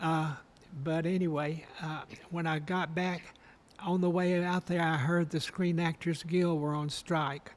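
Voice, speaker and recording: With an Alabama accent, a man speaks in a high, monotone voice with flat intonation. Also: fairly slow pace. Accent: Southern US (Alabama). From Alabama, Guntersville. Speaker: retired costume designer and professor. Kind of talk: interview, personal reminiscence.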